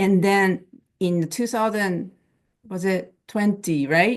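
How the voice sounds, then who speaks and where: Against a quiet background, a woman with a non-native accent speaks at a medium pitch with ordinary pitch variation. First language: not English. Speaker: plain language and immigrant services expert. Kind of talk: webinar panel talk. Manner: halting, many fillers and restarts.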